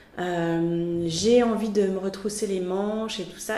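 Audible room echo surrounds the recording. A woman speaks at a very slow pace. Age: 40s. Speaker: freelance art director and graphic designer. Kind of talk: interview.

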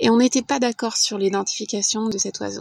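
This woman has an unremarkable speaking voice, fairly high in pitch, at a moderate pace, with a dry, close sound and no echo. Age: 40s. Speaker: podcast volunteer. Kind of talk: scripted narration.

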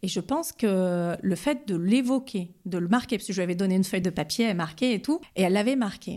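A woman's dark, mellow tone with ordinary pitch variation, in a very clean recording over a silent background. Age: 40s. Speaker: police commissioner. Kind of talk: testimony. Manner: halting.

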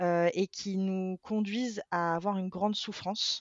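Fairly slow, fairly even speech from a woman at a medium pitch. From France, Venezuelan family. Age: 30s. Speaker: social media creator on diabetes. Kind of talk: interview. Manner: hesitant, many fillers.

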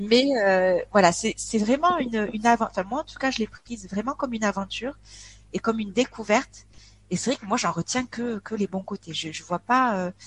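Fairly quick and somewhat breathy, a woman speaks at a fairly high pitch with ordinary pitch variation in a dry, close sound with no echo. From France, Aveyron (rural south-west). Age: 40s. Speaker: expat interviewee. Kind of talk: casual interview chat. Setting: online call, poor connection. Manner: cheerful; hesitant, many fillers.

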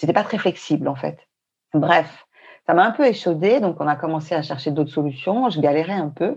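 The speaker has an unremarkable speaking voice with ordinary pitch variation. The pace is fairly quick over a quiet background. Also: woman. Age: 50s. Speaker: traveler. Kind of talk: casual chat.

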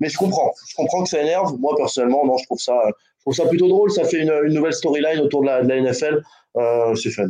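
A man talks at a very fast pace. His voice is fairly high, with a dark, mellow tone. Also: ordinary pitch variation. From American heritage. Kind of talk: casual chat.

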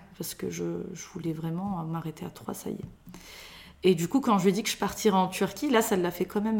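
Using a normal speaking voice, a woman talks at a fairly quick pace. Her pitch is medium, with ordinary pitch variation. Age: 30s. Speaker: mother of three. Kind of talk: personal testimony interview.

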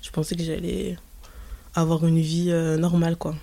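A woman speaks at a fairly low pitch and a moderate pace. Her intonation stays monotone and flat. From rural France, Creuse (Limousin). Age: 20s. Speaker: adoptee sharing her story. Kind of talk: testimony. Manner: hesitant, halting.

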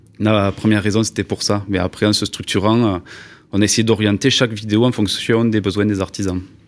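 A man speaks with a Toulouse accent at a fairly low pitch. His intonation is monotone and flat. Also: fairly quick pace, very even loudness. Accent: southwestern French (Toulouse). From Toulouse, southwest France. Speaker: video maker for construction trades. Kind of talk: interview.

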